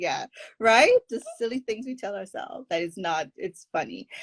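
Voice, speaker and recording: Dry, close sound with no echo, and very wide swings in pitch. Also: woman. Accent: Caribbean. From Caribbean. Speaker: forgiveness coach. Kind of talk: podcast interview.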